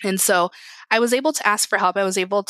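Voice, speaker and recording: A woman with a Midwestern American accent speaks in a bright, sharp tone, the sound dry and close with no echo on a very clean recording with a silent background. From Indiana, US Midwest. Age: 30s. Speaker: tech customer success manager. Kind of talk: interview.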